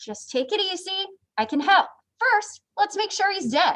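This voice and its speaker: A woman puts on a squeaky character voice at an extremely high pitch. Her intonation is lively and her pace moderate. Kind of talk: professional, reassuring. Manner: calm, soothing.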